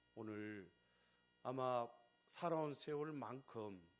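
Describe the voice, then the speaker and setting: A man speaks with a Gyeongsang accent at a medium pitch. His intonation is lively. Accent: Gyeongsang dialect pronunciation. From Gyeongsang region, South Korea. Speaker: pastor. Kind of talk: sermon. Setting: church. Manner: emphatic, repetitive rhetorical cadence.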